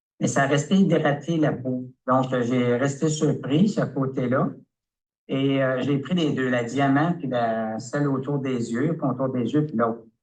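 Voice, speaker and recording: Speaking very slowly, a man keeps a medium pitch and fairly even intonation. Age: 70s. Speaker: customer giving a product testimonial. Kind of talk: testimony. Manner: halting, many hesitations.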